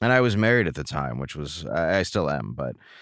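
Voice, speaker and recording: An American accent and vocal fry mark this man's voice in a very clean recording with a silent background. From US Midwest, Detroit area, Michigan. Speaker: comedian. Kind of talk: casual interview.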